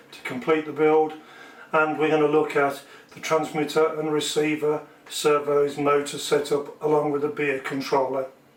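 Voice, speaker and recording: A man's monotone, flat delivery at a moderate pace amid noticeable background noise. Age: 60s. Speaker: model building hobbyist. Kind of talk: tutorial. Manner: casual.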